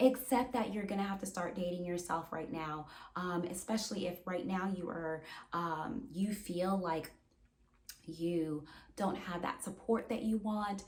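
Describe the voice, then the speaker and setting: A woman at a fairly slow pace with ordinary pitch variation, amid noticeable background noise and audible room echo. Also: medium pitch for a woman. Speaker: therapist. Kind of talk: advice monologue to camera. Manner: repetitive, many fillers and restarts.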